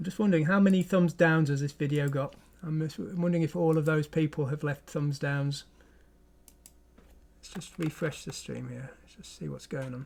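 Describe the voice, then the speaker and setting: The speaker has a strong English accent and keeps a moderate pace. Intonation stays fairly even while loudness swings widely. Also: man, fairly high pitch for a man. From England. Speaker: programming streamer. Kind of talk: live stream chat. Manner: halting, many false starts.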